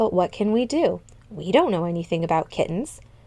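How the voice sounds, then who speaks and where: Using a put-on character voice, a woman talks at a fairly quick pace in a medium pitch. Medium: read story. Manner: formal, courteous.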